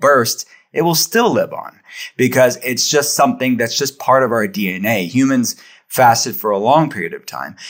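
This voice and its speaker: With a plain, everyday voice, a man speaks at a moderate pace and medium pitch with ordinary pitch variation. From Western Pennsylvania, Pittsburgh. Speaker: functional medicine practitioner. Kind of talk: interview.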